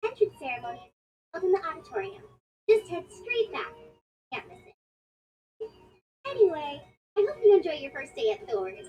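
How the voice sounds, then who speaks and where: At a fairly quick pace, an extremely high put-on character voice talks with long, frequent pauses. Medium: video game. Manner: warm, casual.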